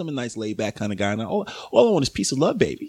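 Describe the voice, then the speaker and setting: A man with an American accent talks at a fairly quick pace in a very clean recording with a silent background. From New York, the Bronx. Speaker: podcast guest. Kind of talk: casual chat. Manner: halting.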